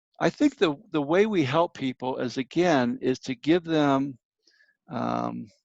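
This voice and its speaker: A man with a plain, everyday voice speaks at a fairly slow pace, his pitch fairly high with ordinary variation. The sound is dry and close with no echo, over a quiet background. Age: 60s. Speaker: minister and grief counselor. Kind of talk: interview.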